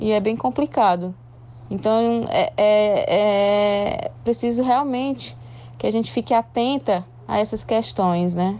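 A woman's fairly high voice at a very slow pace, with ordinary pitch variation and very even loudness. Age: 30s. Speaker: journalist and radio presenter. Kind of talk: casual chat.

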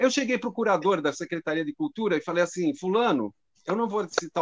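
In a dry, close sound with no echo, a man talks at a very fast pace with very wide pitch swings. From Brazil, São Paulo. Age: 60s. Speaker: drum teacher. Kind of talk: conversation on a live stream.

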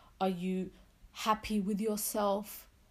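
A woman with a London accent speaks at a medium pitch in a monotone, flat intonation. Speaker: podcast host, nursing student. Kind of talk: solo podcast monologue. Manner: casual, chatty.

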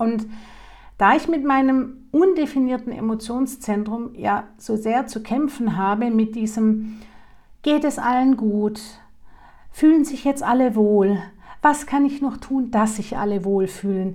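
A woman talks at a very slow pace with long, frequent pauses and ordinary pitch variation. Her fairly high voice has a dark, mellow tone. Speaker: podcast host, human design coach. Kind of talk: personal monologue.

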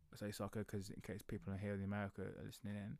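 In an English accent, a man with a fairly low pitch speaks at a very fast pace. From England. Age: 30s. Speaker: podcast host, powerlifting coach. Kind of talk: solo podcast monologue. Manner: casual, with many fillers.

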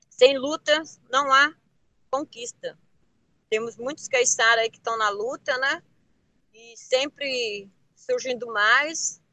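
A woman with a high pitch and a bright, sharp tone speaks in a raised, projected voice at a very slow pace, with ordinary pitch variation, big swings in loudness and long, frequent pauses, in a dry, close sound with no echo. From Ilhabela, São Paulo coast, Brazil. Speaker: traditional fisherwoman. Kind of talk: interview testimony.

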